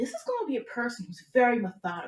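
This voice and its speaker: This woman's voice is somewhat breathy. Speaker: astrology reader. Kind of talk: commentary video. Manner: fast; hesitant fillers.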